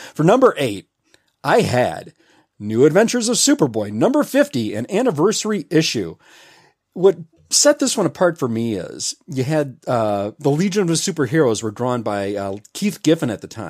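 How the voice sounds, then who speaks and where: A man with an American accent, fairly high-pitched with very wide pitch swings, at a moderate pace on a very clean recording with a silent background. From Memphis, Tennessee, US South. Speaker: comic book enthusiast podcaster. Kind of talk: casual chat. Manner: animated.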